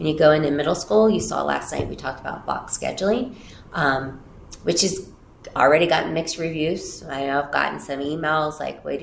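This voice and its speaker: A woman speaks with vocal fry at a very deep, low pitch. Room echo is audible. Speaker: school district superintendent. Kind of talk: interview. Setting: office, livestreamed interview. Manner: loud.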